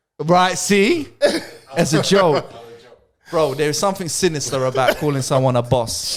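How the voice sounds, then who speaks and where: An animated man with a London accent and fairly high pitch, at a moderate pace with ordinary pitch variation and long, frequent pauses. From London, England. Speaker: podcast co-host. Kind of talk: casual chat.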